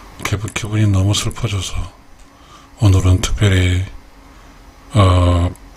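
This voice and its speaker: A man's very deep, low, monotone voice at a very slow pace, with long, frequent pauses and noticeable background noise. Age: 60s. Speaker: YouTube creator, retiree. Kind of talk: late-night radio-style personal talk. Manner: halting, many fillers.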